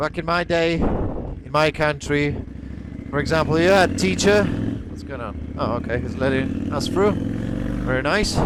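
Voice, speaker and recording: A man's fairly high voice, fairly slow and lively in intonation, with audible room echo and noticeable background noise. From Poland. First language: Polish. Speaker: motorcycle vlogger. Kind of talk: casual vlog monologue. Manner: halting.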